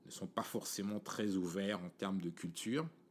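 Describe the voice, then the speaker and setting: A man's voice, fairly low in pitch. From Cameroon, Yaoundé. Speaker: podcast host. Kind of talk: casual monologue. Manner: casual, many fillers.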